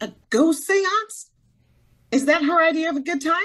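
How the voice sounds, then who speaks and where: Squeaky and at a moderate pace, the speaker uses a put-on character voice. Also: woman, extremely high pitch for a woman. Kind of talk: 1940s radio acting. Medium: audio drama. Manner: skeptical, impatient.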